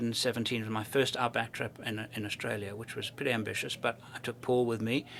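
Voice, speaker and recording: This man moves along at a fairly quick pace. Noticeable background noise is present throughout. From South Africa (born in UK, moved at 12). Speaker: overland traveler and filmmaker. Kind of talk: interview conversation. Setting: expo event. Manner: enthusiastic.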